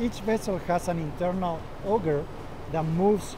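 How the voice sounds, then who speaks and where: With noticeable background noise behind him, a man speaks at a moderate pace in a high voice with ordinary pitch variation. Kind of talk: interview answer. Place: factory. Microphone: lapel.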